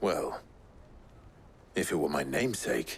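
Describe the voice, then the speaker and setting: A man puts on a raspy character voice, very deep and low, in a calm tone at a moderate pace. Clear background noise runs behind him. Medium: short film. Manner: calm, dry.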